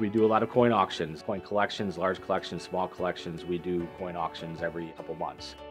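A man's very deep, low voice at a fairly quick pace with ordinary pitch variation, over clear music in the background. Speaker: auctioneer and business owner. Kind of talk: promotional talk to camera about his auction business. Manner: conversational, enthusiastic, with frequent fillers. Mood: enthusiastic, proud. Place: shop. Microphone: lapel.

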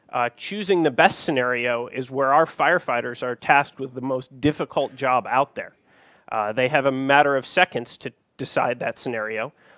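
A man's bright, sharp tone comes through in a dry sound with no echo. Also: ordinary pitch variation, moderate pace. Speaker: conference presenter. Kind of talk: lecture. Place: stage.

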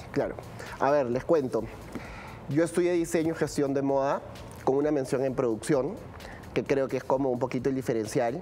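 Over faint music in the background, a man with a fairly high pitch speaks at a moderate pace with very even loudness, ordinary pitch variation, and long, frequent pauses. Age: 30s. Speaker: fashion production specialist; guest. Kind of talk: interview. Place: studio. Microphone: lapel.

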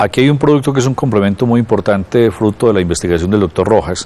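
A man with a fairly low pitch at a fairly quick pace, over noticeable background noise. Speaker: television host. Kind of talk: TV health show hosting. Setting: studio.

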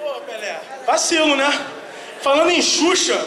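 A man's raised, projected voice, extremely high in pitch, with an animated tone, ordinary pitch variation, audible room echo and light background noise. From Brazil, Rio de Janeiro. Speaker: stand-up comedian and voice actor. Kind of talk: stand-up. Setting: stage with audience. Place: stage. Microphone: pa.

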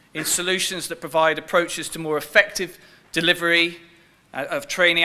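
A man at a moderate pace, high in pitch, with a bright, sharp tone. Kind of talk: formal briefing presentation. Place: hall.

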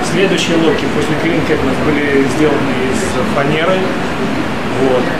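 Loud background noise runs throughout. A man talks at a moderate pace. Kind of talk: interview answer. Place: workshop. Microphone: camera far.

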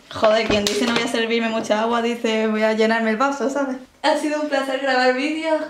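Audible room echo surrounds a woman speaking at a fairly quick pace with ordinary pitch variation. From Spain. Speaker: YouTuber. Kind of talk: reaction video commentary. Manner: animated. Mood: joking, animated.

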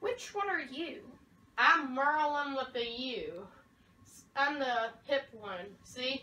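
A female-sounding put-on character voice speaks very slowly at a high pitch, with long, frequent pauses. Echo is audible throughout. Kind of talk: amateur comic acting. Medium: short film. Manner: theatrical, comic overacting.

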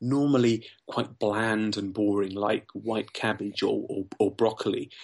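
Over a quiet background, the speaker talks at a fairly slow pace in a southern English accent with monotone, flat intonation. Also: man. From southern England. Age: 40s. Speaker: weight loss success story guest, finance worker. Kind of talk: podcast interview.

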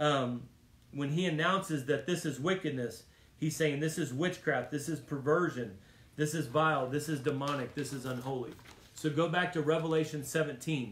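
A man speaks at a moderate pace in a fairly high, somewhat breathy voice with a warm tone. His intonation stays fairly even, and room echo is audible. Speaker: preacher. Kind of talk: Bible study teaching turning into a fervent sermon, with prayer. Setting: church Bible study, streamed video. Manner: urgent, emphatic, repeating lines for punch; warm and exhortative, directly addressing the audience. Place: home room. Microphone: phone near.

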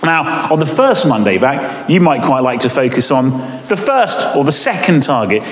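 Fairly quick speech with audible room echo. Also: man. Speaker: deputy head teacher. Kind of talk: school assembly talk. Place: hall. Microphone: camera far.

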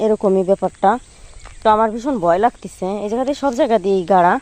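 Lively intonation marks this woman's voice, captured in a dry, close sound with no echo. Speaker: village vlogger. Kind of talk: vlog narration. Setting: outdoors. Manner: conversational, meandering.

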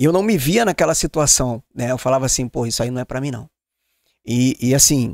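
Speaking at a fairly quick pace with ordinary pitch variation, a man is heard in a dry sound with no echo against a quiet background. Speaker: podcast host. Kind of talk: casual chat. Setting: studio. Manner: animated. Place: studio. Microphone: studio mic.

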